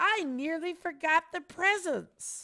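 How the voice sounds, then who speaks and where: A woman puts on a character voice that is squeaky and extremely high-pitched, with a warm tone. She speaks at a fairly slow pace with ordinary pitch variation. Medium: read story.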